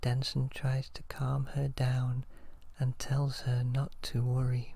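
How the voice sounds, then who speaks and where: The speaker is soft-spoken. The pace is very slow. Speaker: ASMR storyteller. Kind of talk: soft-spoken ASMR story reading.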